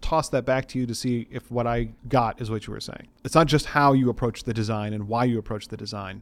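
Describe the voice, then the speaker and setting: This man's voice sits at a medium pitch and moves at a fairly quick pace. He hardly pauses at all. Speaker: podcast co-host and game designer. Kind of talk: casual chat. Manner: fast; animated.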